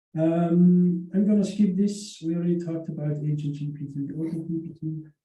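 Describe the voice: Strong room echo surrounds a man speaking at a fairly high pitch in a dark, mellow tone with little pitch movement. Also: moderate pace.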